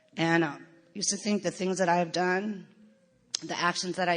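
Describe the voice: A woman's fairly low voice with an American accent and little pitch movement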